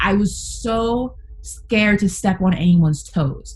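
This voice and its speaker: A woman speaks with a New York accent. Her medium pitch holds fairly even intonation. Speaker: sports talk radio host. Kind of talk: casual chat.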